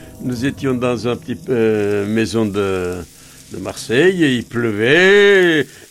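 Over noticeable background noise, a man speaks at a very slow pace with a medium pitch that makes very wide swings. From Bulgaria, Armenian family. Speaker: Armenian immigrant witness. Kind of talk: testimony.

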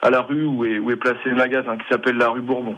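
Medium pitch from a man, with ordinary pitch variation. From Poitou, France (near Châtellerault). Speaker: chocolatier. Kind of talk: radio interview. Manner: halting.

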